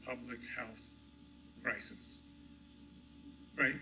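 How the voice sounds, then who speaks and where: A man speaks at a moderate pace as music plays behind him. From Egypt. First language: Arabic. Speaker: hospital executive. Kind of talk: award acceptance speech. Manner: halting, many fillers and repetitions.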